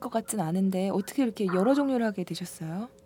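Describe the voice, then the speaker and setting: There is noticeable background noise as a woman speaks with lively intonation. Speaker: podcast co-host. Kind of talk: casual chat.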